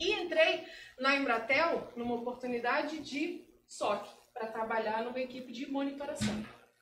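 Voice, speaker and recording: A woman speaks at a moderate pace in a high voice with ordinary pitch variation. Audible room echo surrounds her. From Brazil, Rio de Janeiro. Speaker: security analyst. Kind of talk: talk at meetup. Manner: casual.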